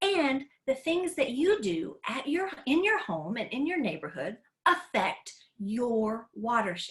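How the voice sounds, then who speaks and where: This woman has a high pitch and an American accent. Her pitch swings very widely. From Tennessee, US South. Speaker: educator. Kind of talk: online class for kids. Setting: live video call. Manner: animated.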